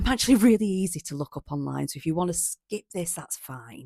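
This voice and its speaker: Her pitch swings very widely. The woman keeps up a fairly quick pace. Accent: northern English. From northern England, East Lancashire. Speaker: policy consultant. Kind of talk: casual self-introduction to camera.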